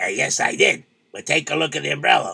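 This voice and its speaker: A raspy male put-on character voice at a fairly quick pace, with big swings in loudness. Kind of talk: comic folk-tale acting. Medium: audio drama. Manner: resigned, deadpan.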